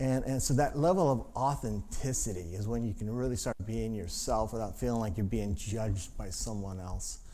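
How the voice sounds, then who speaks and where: Medium-pitched male speech with ordinary pitch variation, a moderate pace and hardly any pauses, in audible room echo. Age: 60s. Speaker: pastor. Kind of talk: sermon. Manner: halting.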